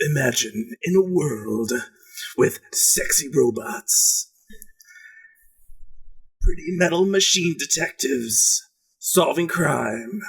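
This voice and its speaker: A man puts on a raspy character voice at a high pitch. He speaks at a very slow pace with long, frequent pauses. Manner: dramatic, theatrical narration.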